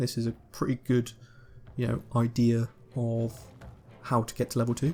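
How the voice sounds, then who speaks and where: At a moderate pace, a man speaks at a medium pitch with a monotone, flat intonation. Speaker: gaming YouTuber. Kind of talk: gameplay commentary. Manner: casual, hesitant with fillers.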